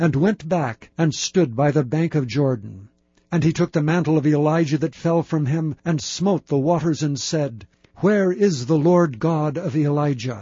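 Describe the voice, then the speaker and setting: A man with a plain, everyday voice talks at a moderate pace in a fairly high pitch with ordinary pitch variation. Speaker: audiobook narrator. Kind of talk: scripture audiobook reading, solemn and steady, archaic KJV text read aloud. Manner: measured, formal, even-paced narration.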